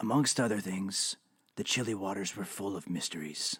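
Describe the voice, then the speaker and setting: A man in a put-on character voice. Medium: audio drama. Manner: confessional, world-weary.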